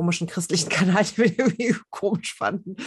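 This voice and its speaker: A plain, everyday voice moves at a fairly quick pace over a quiet background. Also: woman. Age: 40s. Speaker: journalist and women's network founder. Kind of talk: casual interview.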